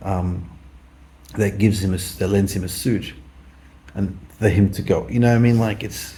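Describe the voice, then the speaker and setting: A man with an Australian accent mumbles at a moderate pace in a fairly low, somewhat breathy voice with a dark, mellow tone. His intonation is monotone and flat, with long, frequent pauses and audible room echo. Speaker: vlogger. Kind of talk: casual monologue. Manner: mumbling.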